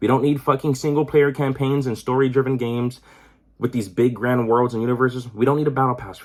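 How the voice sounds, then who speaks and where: In an animated tone, a man talks at a very fast pace and medium pitch. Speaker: gaming YouTuber. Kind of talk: casual rant to camera.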